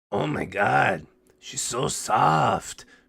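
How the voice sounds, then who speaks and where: A man puts on a character voice. It sounds raspy. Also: very deep, low pitch for a man. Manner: cooing; soft, gentle.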